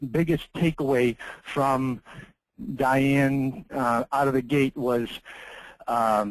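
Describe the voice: At a slow pace, a man talks in a medium pitch.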